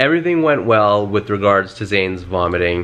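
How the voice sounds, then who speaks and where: Plain, everyday male voice, a plain, everyday voice with lively intonation. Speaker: vlogger, new father of twins. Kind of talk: casual chat.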